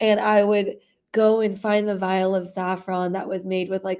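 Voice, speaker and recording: A woman's dark, mellow, medium-pitched voice with monotone, flat intonation against a quiet background. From grew up in immigrant Iranian family abroad. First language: Farsi. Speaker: company founder. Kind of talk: interview. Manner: casual, filler-heavy.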